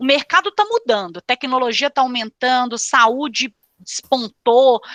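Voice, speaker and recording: With a Minas Gerais accent, a woman speaks at a fairly slow pace in a high, bright, sharp voice, with a dry, close sound, no echo and a quiet background. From Brazil, Minas Gerais. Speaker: executive recruiter. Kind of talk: panel discussion.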